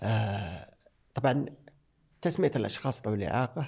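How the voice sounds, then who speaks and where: A man speaks at a medium pitch with vocal fry. His pace is fairly slow and his intonation lively. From Saudi Arabia. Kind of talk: interview.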